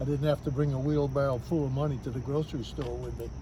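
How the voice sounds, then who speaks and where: A man's voice with audible room echo. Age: 70s. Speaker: senior voter interviewed. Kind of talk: street interview.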